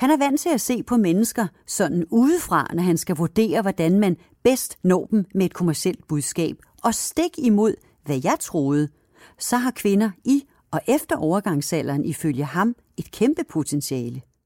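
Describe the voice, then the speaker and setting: A woman at a medium pitch with very wide pitch swings, a dark, mellow tone and a fairly slow pace, in a very clean recording with a silent background. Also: dry, close sound with no echo. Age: 50s. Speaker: podcast host. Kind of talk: scripted narration.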